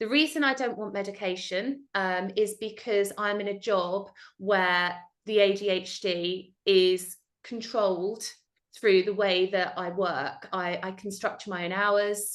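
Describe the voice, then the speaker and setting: At a fairly slow pace, a woman talks in a medium pitch with fairly even intonation. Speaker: tutor, tutoring business owner. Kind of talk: interview. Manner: loud.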